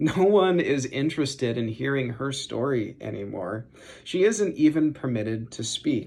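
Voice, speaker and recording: An unremarkable speaking voice from a man, fairly high in pitch, with lively intonation at a moderate pace. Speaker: seminary student preaching. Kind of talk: sermon.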